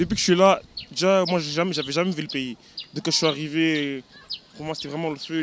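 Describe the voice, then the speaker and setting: Over noticeable background noise, a man with a fairly high voice speaks with long, frequent pauses. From Belgium. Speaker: diaspora youth visitor. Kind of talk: street interview.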